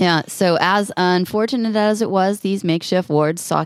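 The woman has an unremarkable speaking voice with ordinary pitch variation at a moderate pace. Her recording is very clean, with a silent background. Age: 40s. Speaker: podcast co-host. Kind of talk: casual chat.

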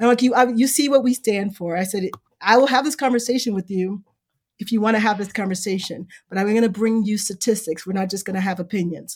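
A woman with an American accent talks very fast at a medium pitch, somewhat breathy, with ordinary pitch variation. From Chicago South Side. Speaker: bookstore owner. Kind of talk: casual interview. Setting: virtual remote recording.

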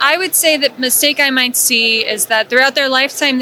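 A woman speaks in a high, raised, projected voice at a moderate pace. Her pitch varies in an ordinary way, and background noise is noticeable. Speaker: accountant. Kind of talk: interview.

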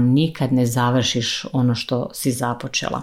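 A woman is speaking. Her pace is fairly slow. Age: 30s. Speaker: podcast host, mentor for women. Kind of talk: solo motivational monologue.

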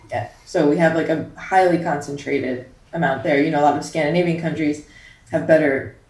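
Amid audible room echo, a woman with a very deep, low pitch talks at a fairly quick pace with fairly even intonation. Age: 20s. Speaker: science writer and activist. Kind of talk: interview.

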